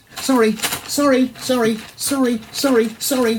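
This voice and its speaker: This put-on character voice has a fairly high pitch. It moves at a moderate pace. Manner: overly apologetic.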